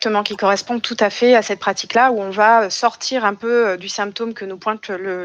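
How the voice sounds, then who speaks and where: An ordinary speaking voice at a moderate pace, fairly even in intonation, with a dry, close sound with no echo and a quiet background. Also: woman. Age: 30s. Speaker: psychiatrist. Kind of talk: interview.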